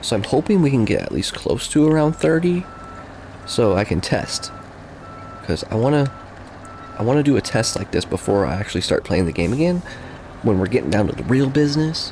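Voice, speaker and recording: The voice is quiet, with very wide pitch swings and a fairly quick pace broken by long, frequent pauses. Noticeable background noise runs throughout. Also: man, medium pitch for a man. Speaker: gaming streamer. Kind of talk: casual live stream chat. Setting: home computer setup, live stream. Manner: quiet, low-volume speech.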